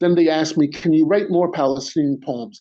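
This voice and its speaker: A man's dark, mellow voice with a New York accent, fairly high pitch and ordinary pitch variation. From New York City, Queens. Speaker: spoken word poet. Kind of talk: poetry reading. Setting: video call on a phone. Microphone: phone mic.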